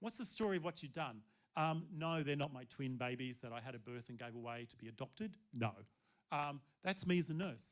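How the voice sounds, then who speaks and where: Speaking in an Australian accent, a man talks at a fairly quick pace with a fairly high pitch and lively intonation. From Australia, Sydney. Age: 60s. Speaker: seminar presenter, former nurse and cabaret performer. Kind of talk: seminar talk. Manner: casual, conversational.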